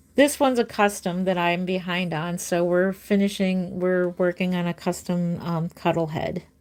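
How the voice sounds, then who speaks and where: A woman with a plain, everyday voice speaks at a fairly low pitch with fairly even intonation. Her pace is moderate with hardly any pauses, and the recording is very clean with a silent background. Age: 50s. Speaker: reborn doll artist and live streamer. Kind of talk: casual livestream chat while painting, reading viewer comments. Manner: warm, chatty.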